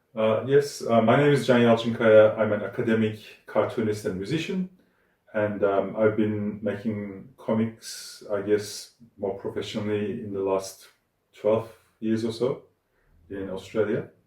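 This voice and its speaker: Speaking with a Turkish accent, a man uses a somewhat breathy, fairly low voice at a fairly slow pace with fairly even intonation. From Turkey. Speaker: academic cartoonist and musician. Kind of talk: interview. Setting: art studio. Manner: hesitant, many fillers.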